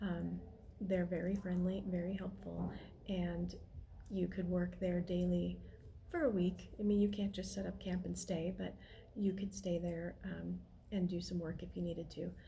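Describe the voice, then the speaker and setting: A quiet woman at a moderate pace. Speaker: van life vlogger. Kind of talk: casual talk to camera. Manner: low-key, quiet.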